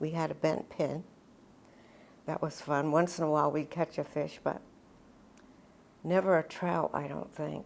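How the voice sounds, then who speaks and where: Her pitch is very deep and low for a woman, with vocal fry. The intonation stays fairly even. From US Northeast, Dutchess County, New York. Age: 90s. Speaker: elderly local resident. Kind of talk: oral history interview. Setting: town hall room.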